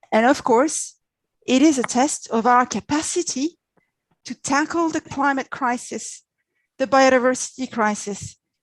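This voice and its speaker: A woman with a French accent speaks at a fairly slow pace, high in pitch with ordinary pitch variation. The sound is dry and close with no echo, and the background is quiet. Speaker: diplomat. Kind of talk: presentation. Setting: video call.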